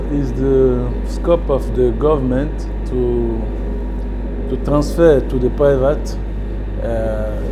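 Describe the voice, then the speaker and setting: Noticeable background noise runs beneath a man who talks at a very slow pace. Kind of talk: interview answer. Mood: friendly, smiling.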